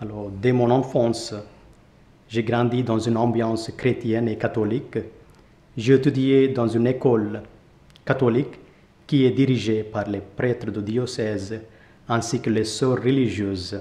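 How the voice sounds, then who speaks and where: Speaking in an Indian accent, a man with a medium pitch and a dark, mellow tone talks in a flat monotone at a fairly slow pace, with long, frequent pauses. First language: Indian language (speaking French). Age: 20s. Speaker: Capuchin friar. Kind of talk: testimony interview. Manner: halting.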